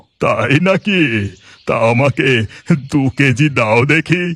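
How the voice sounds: A man performs a cartoonish character voice at a fairly high pitch. His intonation is lively and his pace very slow.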